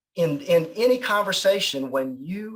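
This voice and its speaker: A man is speaking. His pitch is high. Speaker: sales executive. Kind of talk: interview. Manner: fast; energetic.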